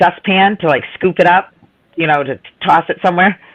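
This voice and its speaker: A woman with a Boston accent and an animated tone. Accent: Boston, dropped r's. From Boston area, Massachusetts (North Shore near Salem). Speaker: live stream chat participant. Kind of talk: casual chat, storytelling.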